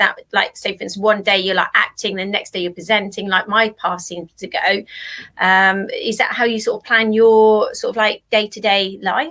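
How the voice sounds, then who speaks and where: A woman speaks at a moderate pace in a fairly high voice, with a bright, sharp tone and fairly even intonation. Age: 50s. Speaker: talk show co-host. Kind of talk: interview.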